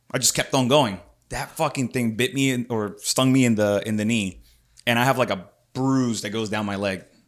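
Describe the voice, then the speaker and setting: In a very clean recording with a silent background, a man with an ordinary speaking voice talks at a moderate pace, his pitch medium with ordinary pitch variation. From Puerto Rico, then Philadelphia. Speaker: podcast host. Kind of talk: casual chat. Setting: studio.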